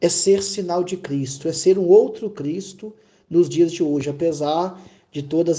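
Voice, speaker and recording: Spoken at a fairly slow pace, the voice has a dark, mellow tone and ordinary pitch variation. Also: man. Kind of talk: personal testimony.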